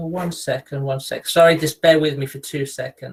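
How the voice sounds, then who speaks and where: A man with an English accent, fairly high in pitch, with monotone, flat intonation. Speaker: geography lecturer and researcher. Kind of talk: webinar lecture. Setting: online video call. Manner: hesitant with fillers.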